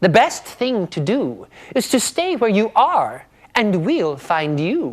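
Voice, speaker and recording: A woman's squeaky, put-on character voice at a medium pitch, with very wide pitch swings and a fairly slow pace. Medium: read story.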